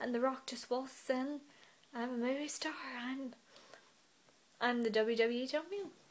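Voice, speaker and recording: A woman with a British accent, high-pitched and at a fairly quick pace. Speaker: wrestling vlogger. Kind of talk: casual vlog commentary. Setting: in bed at home. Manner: animated.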